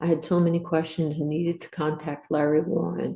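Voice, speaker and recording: Vocal fry runs through this woman's American accent. She keeps a moderate pace and a flat, monotone intonation. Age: 60s. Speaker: Air Force veteran. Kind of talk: testimony.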